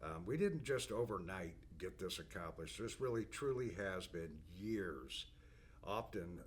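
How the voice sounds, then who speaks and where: Fairly slow and with lively intonation, a man speaks in a very deep, low voice with vocal fry. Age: 60s. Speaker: business owner presenting company products. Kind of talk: product overview monologue. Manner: casual, with frequent fillers and restarts.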